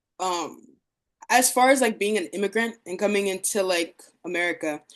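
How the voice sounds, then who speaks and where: A woman speaks in a normal speaking voice at medium pitch and a moderate pace. Her pitch varies in an ordinary way against a quiet background. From Democratic Republic of Congo, moved to US at nine. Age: 20s. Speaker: visual artist. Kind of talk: artist talk presentation. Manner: casual, many fillers.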